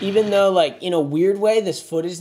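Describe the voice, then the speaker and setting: This man's dark, mellow tone comes through over a quiet background. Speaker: vlogger. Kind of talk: reaction commentary. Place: kitchen.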